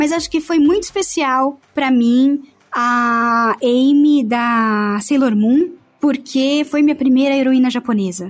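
A woman speaks very slowly in a high pitch. Her pitch varies in an ordinary way, and her loudness stays very even. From São Paulo state, Santo André. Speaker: voice actress. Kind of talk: casual interview chat.

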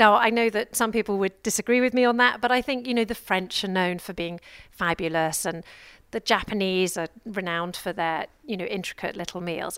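Heard in a very clean recording with a silent background, a woman with an English accent speaks at a moderate pace in a medium-pitched voice with ordinary pitch variation. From England. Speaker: radio show host. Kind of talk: radio interview. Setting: live broadcast from a busy trade fair.

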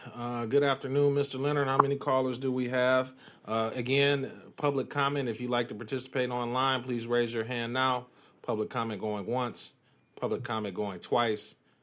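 A man at a moderate pace, an ordinary speaking voice. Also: medium pitch for a man, fairly even intonation. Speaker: committee chair. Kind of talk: formal council committee meeting. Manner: formal, procedural.

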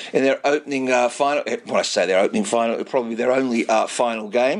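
Noticeable background noise sits behind this recording. A man talks at a fairly quick pace. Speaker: radio presenter. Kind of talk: radio show with interviews. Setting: studio. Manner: animated.

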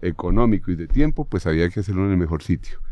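With a Bogotá accent, a man speaks at a fairly low pitch. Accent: Bogotano Colombian Spanish. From Bogotá, Colombia. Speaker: football coach.

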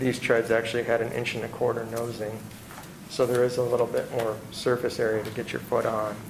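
Speaking at a fairly quick pace, a man keeps a monotone, flat intonation at medium pitch, with noticeable background noise. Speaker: building designer. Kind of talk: public meeting testimony. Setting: city board hearing room with microphones. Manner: loud.

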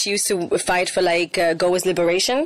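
Someone talks at a fairly quick pace with noticeable background noise behind them. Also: woman. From Spain. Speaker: rapper. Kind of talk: interview.

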